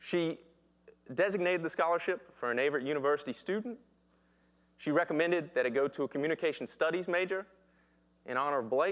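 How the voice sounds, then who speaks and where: In a Southern US accent, the speaker goes at a very fast pace with ordinary pitch variation and long, frequent pauses. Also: man, fairly high pitch for a man. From US South, Danville, Virginia. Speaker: social entrepreneur. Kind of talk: pitch presentation.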